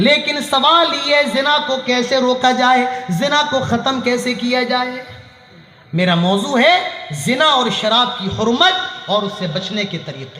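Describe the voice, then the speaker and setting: A man's extremely high, raised and projected voice with lively intonation, audible room echo and noticeable background noise. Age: 20s. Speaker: Islamic preacher. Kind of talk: sermon. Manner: animated.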